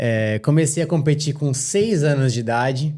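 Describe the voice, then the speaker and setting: The dark, mellow tone moves at a fairly slow pace with ordinary pitch variation. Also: man. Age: 20s. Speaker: professional motorcycle racer. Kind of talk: podcast interview.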